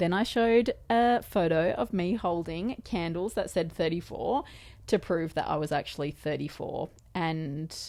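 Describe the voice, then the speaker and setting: In an Australian accent, a woman of medium pitch speaks with lively intonation on a very clean recording with a silent background. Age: 30s. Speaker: podcast host. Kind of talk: casual chat. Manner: animated.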